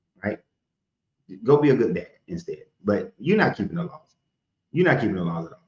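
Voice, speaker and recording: A man's animated, fairly high voice with vocal fry, very wide pitch swings, big swings in loudness, a fairly quick pace, and long, frequent pauses. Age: 40s. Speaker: live-stream host taking callers. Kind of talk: call-in debate. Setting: TikTok live stream.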